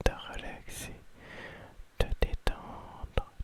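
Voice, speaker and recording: A man whispering amid noticeable background noise. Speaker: ASMR creator. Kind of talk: ASMR confiding talk. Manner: whispered.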